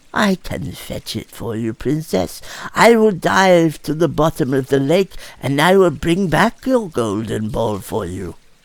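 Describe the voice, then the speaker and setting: A put-on character voice sits at a low-to-middle pitch, swinging very widely in pitch at a fairly slow pace. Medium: read story. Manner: gentle, soft-spoken.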